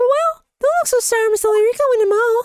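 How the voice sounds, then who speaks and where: The put-on character voice is squeaky and moves at a fairly quick pace. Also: woman. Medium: fan dub. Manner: coy, breathy-sweet, girlish.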